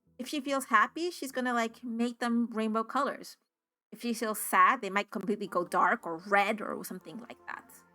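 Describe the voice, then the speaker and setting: A woman with a Spanish accent speaks at a moderate pace and a fairly high pitch, with a bright, sharp tone. Her loudness swings widely while her pitch variation stays ordinary. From United States, Spanish-speaking immigrant family. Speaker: tabletop RPG player and streamer. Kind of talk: solo actual play game narration.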